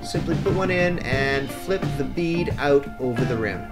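Clear music in the background behind a man speaking. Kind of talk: tutorial. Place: garden. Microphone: camera far.

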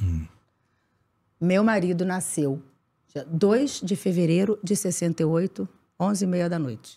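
Dark and mellow in tone, a woman talks with ordinary pitch variation. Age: 50s. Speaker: actress. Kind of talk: casual chat. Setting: studio. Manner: animated. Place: studio. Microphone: studio mic.

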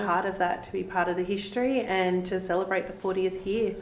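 A woman talks at a fairly quick pace with very even loudness and monotone, flat intonation. Audible room echo surrounds her voice. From Australia. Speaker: art show organiser and school parent. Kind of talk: interview answer. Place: office.

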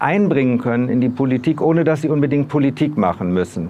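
The man's voice sits at a fairly high pitch and has ordinary pitch variation. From northern Germany, Bremen; Germany. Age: 60s. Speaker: local election candidate; election candidate. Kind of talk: campaign video statement; campaign self-introduction. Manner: hesitant with filler words. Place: street. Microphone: lapel.

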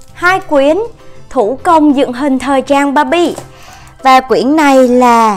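The speaker goes at a very slow pace with ordinary pitch variation and very even loudness. Faint music plays in the background. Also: woman. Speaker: unboxing channel host. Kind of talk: casual unboxing show-and-tell. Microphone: phone near.

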